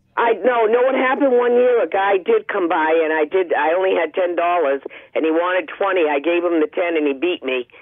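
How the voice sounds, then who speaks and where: An animated, fairly quick delivery with lively intonation and very even loudness, over noticeable background noise. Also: woman, fairly low pitch for a woman. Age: 60s. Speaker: caller. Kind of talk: radio call-in complaint. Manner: animated, insistent.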